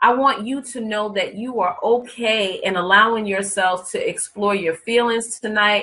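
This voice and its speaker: The delivery is fairly slow and animated, with ordinary pitch variation. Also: woman. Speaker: life coach. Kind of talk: live webinar presentation. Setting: online broadcast.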